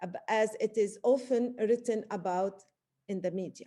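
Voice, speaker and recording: A woman's dark, mellow tone with lively intonation and a fairly slow pace. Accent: non-native. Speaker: literature professor. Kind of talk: academic webinar talk. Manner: halting with many fillers.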